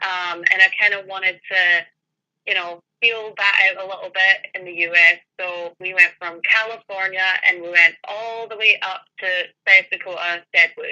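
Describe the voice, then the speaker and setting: A woman with a Scottish accent speaks at a moderate pace and medium pitch, her tone bright and sharp, her intonation monotone and flat, and her loudness swinging widely. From Scotland, Edinburgh. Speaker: paranormal investigator. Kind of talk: interview.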